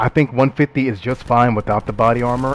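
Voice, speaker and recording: Noticeable background noise sits beneath a man whose pitch is medium. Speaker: gaming YouTuber. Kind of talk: gameplay commentary. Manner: fast; animated.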